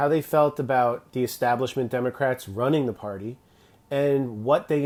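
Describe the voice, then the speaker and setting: This man's voice sits at a medium pitch, moving at a moderate pace with fairly even intonation. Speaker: political commentator. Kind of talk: livestream monologue. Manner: loud.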